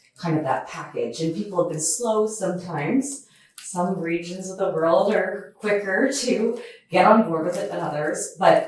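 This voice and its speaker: With a Canadian accent, a woman of fairly low pitch speaks at a moderate pace with ordinary pitch variation amid audible room echo. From Canada. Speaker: asset management executive. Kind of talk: podcast interview.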